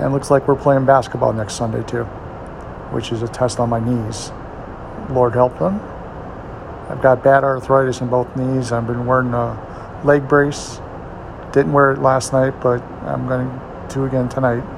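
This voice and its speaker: Against noticeable background noise, a man speaks at a moderate pace in a medium pitch with fairly even intonation and long, frequent pauses. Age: 60s. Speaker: video blogger. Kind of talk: casual personal update monologue. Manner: casual with frequent filler words.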